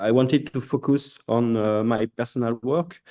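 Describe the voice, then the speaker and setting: With a French accent, a man speaks at a fairly slow pace in a dark, mellow, medium-pitched voice with ordinary pitch variation. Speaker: artist and designer. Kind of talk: presentation. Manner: halting.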